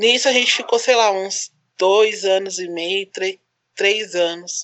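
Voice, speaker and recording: Speech comes fairly slowly, its pitch shifting in an ordinary way. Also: woman. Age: 30s. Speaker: photographer and single mother. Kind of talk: casual chat.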